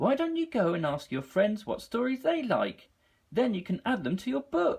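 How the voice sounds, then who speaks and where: At a moderate pace, a woman uses a put-on character voice at a fairly high pitch. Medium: read story. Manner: gentle, soothing.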